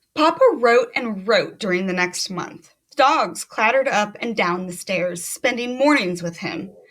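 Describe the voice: Plain reading aloud comes with lively intonation.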